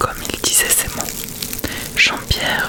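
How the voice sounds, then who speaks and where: A woman whispers in a soothing tone over noticeable background noise. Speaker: ASMR creator. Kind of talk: audiobook-style reading of a classic tale. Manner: whispered, soft-spoken, slow, soothing.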